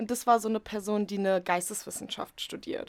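A woman's plain, everyday voice at medium pitch, with ordinary pitch variation, on a very clean recording with a silent background. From Potsdam, Germany. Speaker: media art student. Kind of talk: casual chat.

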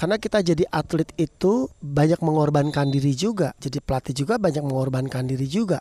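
Very fast and with hardly any pauses, a woman speaks in a very deep, low voice with lively intonation, dry and close with no echo, against noticeable background noise. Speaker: former badminton athlete and volleyball club figure. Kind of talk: casual interview. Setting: outdoors at volleyball court at night.

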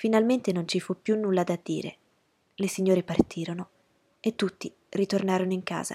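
The intonation is fairly even. It is reading aloud in a natural voice.

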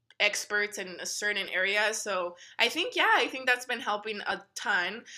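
A woman with an American accent speaks in a plain, everyday voice, her fairly high pitch rising and falling in ordinary measure. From El Paso, Texas. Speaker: engineer in customer facing tech role. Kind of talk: casual interview.

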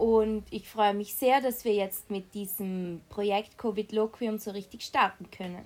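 A woman's unremarkable speaking voice at medium pitch, fairly slow yet with hardly any pauses, fairly even in intonation but with big swings in loudness. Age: young. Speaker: university student, youth group member. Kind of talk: casual chat.

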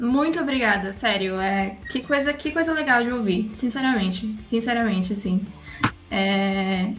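With a fairly high pitch and lively intonation, a woman speaks at a fairly slow pace. Noticeable background noise and audible room echo fill the recording. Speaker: podcast host. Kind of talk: casual interview.

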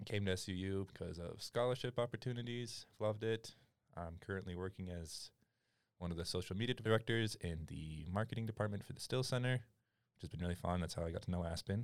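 Over a very clean recording with a silent background, a man with an American accent talks at a fairly quick pace. He has an ordinary speaking voice, fairly low in pitch, with ordinary pitch variation. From Utah, US (Utah County). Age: 20s. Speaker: college student. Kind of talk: casual chat. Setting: studio.

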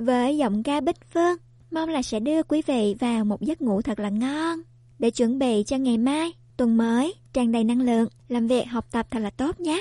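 A woman's high-pitched, dark and mellow voice at a fairly slow pace, with ordinary pitch variation and a dry, close sound with no echo. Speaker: radio host. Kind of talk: radio broadcast. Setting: studio.

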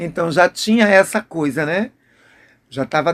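A man with a high voice talks fairly slowly, and his pitch varies in an ordinary way. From Brazil, Maceió, Alagoas. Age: 50s. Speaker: dancer and dance teacher. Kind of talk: interview. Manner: halting.

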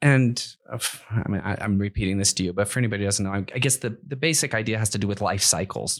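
In a very clean recording with a silent background, a man with an American accent talks very fast with hardly any pauses, using a fairly low pitch and ordinary pitch variation. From US Midwest, Akron, Ohio. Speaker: podcast host, entrepreneur. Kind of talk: interview. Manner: halting.

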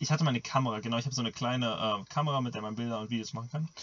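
A man speaks at a very fast pace in a medium pitch, somewhat breathy. His pitch rises and falls in an ordinary way. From Germany. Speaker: podcast co-host and middle-distance runner. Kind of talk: casual chat.

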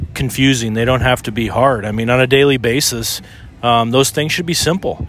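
A man at a moderate pace and medium pitch, with noticeable background noise. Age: 50s. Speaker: podcast co-host. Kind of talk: casual chat. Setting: outdoors on a beach.

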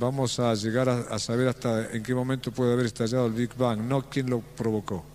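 The delivery moves at a fairly quick pace with hardly any pauses, very even loudness, and a monotone, flat intonation. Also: man, medium pitch for a man. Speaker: inspirational speaker. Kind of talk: motivational talk.

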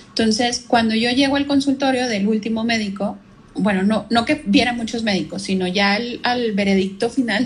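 At a moderate pace, a woman with a Mexican accent speaks at a fairly high pitch with fairly even intonation. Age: 30s. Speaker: marketing professional, cancer survivor. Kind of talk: casual interview chat. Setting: Instagram live video call.

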